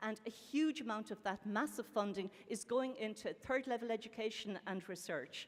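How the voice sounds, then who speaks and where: With an Irish accent and a fairly high pitch, a woman speaks with hardly any pauses. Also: ordinary pitch variation. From Ireland. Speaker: professor, panel speaker. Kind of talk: conference panel talk. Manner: fast.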